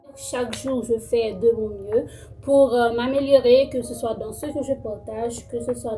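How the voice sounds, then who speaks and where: The speech moves at a very slow pace with fairly even intonation. Noticeable background noise runs underneath. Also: woman. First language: Creole (speaking French). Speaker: YouTuber. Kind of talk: casual self-introduction vlog. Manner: halting, many fillers and repetitions.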